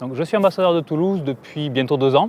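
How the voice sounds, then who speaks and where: Speaking at a very fast pace, a man with a southern French accent is heard in a dry, close sound with no echo. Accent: southern French accent, noticeable. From southern France, Aveyron. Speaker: entrepreneur. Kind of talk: interview monologue.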